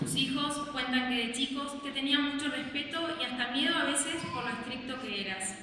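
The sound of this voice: Strong room echo surrounds a woman's voice. She speaks at a moderate pace in a bright, sharp tone.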